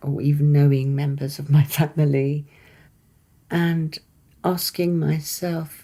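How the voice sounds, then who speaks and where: A woman speaks very slowly in a very deep, low voice, somewhat breathy, with a dark, mellow tone and flat, monotone intonation. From England, Isle of Wight. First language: Persian. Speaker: poet. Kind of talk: interview.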